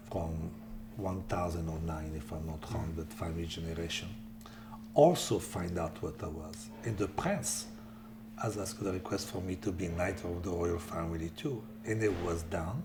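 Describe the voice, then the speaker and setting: A man with an Italian accent speaks at a moderate pace in a very deep, low pitch with ordinary pitch variation. Audible room echo and noticeable background noise come through. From Italy. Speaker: chef and philanthropist. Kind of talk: interview.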